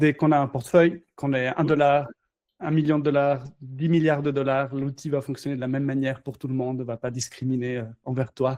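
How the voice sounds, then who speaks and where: A man speaks at a fairly quick pace with a fairly high pitch and a flat, monotone delivery. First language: not French (speaking French). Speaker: crypto company founder. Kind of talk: casual interview. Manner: halting, many fillers.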